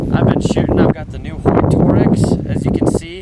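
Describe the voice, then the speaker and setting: A man talks at a moderate pace. Room echo is audible, and background noise is noticeable. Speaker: hunter and outdoor vlogger. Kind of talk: excited field vlog. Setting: outdoors. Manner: animated.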